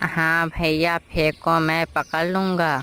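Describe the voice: The cartoonish character voice sits at a middle pitch and stays monotone, with flat intonation.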